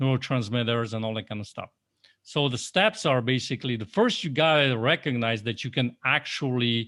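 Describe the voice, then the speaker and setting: A man's medium-pitched, bright, sharp voice with a Polish accent, moderate pace and ordinary pitch variation, on a very clean recording with a silent background. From Poland. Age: 40s. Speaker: life coach. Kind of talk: podcast interview. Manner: animated.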